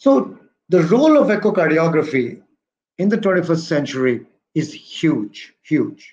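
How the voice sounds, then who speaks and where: Lively intonation runs through this man's speech. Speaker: presenter. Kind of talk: lecture. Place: office. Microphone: webcam.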